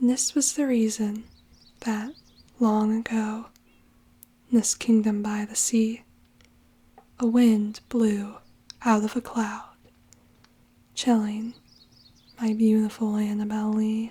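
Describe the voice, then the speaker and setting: The soft-spoken delivery moves at a very slow pace, broken by long, frequent pauses. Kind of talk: poetry reading, ASMR.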